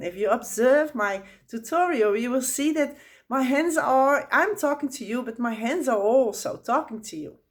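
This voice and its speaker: A woman with a Dutch accent speaks at a moderate pace with a fairly high pitch. Her pitch swings very widely, and her loudness varies a lot. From Netherlands. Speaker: spiritual teacher. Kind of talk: tutorial. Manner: halting.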